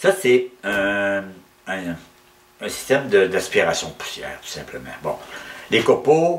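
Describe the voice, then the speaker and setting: A man with a Quebec accent at a medium pitch, very slow pace, long, frequent pauses, very wide pitch swings and big swings in loudness, over noticeable background noise. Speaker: woodturner. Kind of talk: tutorial. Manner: halting.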